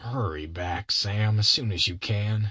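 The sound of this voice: A put-on character voice, bright and sharp in tone with a slightly husky edge, at a fairly slow pace. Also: man, fairly low pitch for a man, ordinary pitch variation.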